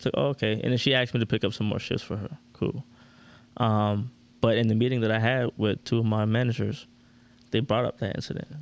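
A man with an American accent, medium pitch, fairly even intonation and a very fast pace. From Orlando, Florida. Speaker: podcast co-host, medical field worker. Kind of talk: casual chat.

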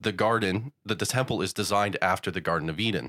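On a very clean recording with a silent background and a dry, close sound with no echo, a man speaks fairly quickly in an unremarkable speaking voice, his fairly low pitch showing ordinary variation. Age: 20s. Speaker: church ministry worker. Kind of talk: casual chat. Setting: church room studio.

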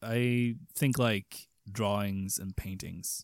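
A man with a Swedish accent, on a very clean recording with a silent background and a dry, close sound with no echo. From Sweden. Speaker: podcast host. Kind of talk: casual chat.

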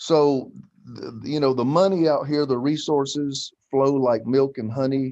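A dark, mellow tone moves at a fairly slow pace with fairly even intonation. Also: man, fairly high pitch for a man. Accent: Southern US. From US South, Greenville, South Carolina. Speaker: pastor. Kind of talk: interview.

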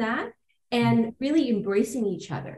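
Using a normal speaking voice, a woman talks at a fairly high pitch and a moderate pace. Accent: Canadian. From Toronto, Canada. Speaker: lawyer and law firm founder. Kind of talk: casual interview.

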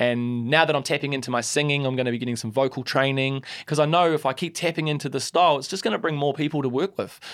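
Rattling along at a very fast pace with hardly any pauses, a man speaks with a New Zealand accent at a fairly high pitch with ordinary pitch variation. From New Zealand, Christchurch. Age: 30s. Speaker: hip-hop artist. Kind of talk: casual chat. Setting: studio.

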